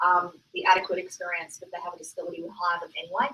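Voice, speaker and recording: A woman speaks at a medium pitch with an Australian accent. Her tone is bright and sharp, and her intonation stays monotone and flat. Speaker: accessibility consultant, company founder. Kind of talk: conference talk. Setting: stage with audience. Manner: loud; hesitant, many fillers.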